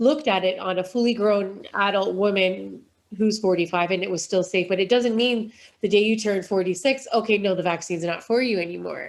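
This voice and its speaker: With an unremarkable speaking voice, a woman talks fairly quickly at a medium pitch and ordinary pitch variation. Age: 40s. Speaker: charity founder. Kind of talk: interview.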